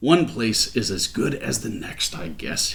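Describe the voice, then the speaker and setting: In a put-on character voice, a man mumbles in a gruff tone at a fairly slow pace. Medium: read story. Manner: gruff, mumbling.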